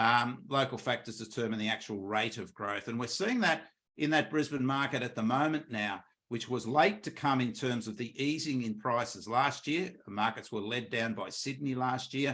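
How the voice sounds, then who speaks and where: A man with an Australian accent speaks at a medium pitch with ordinary pitch variation and a bright, sharp tone. The recording is very clean, with a silent background. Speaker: economist. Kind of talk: market update presentation. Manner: fast.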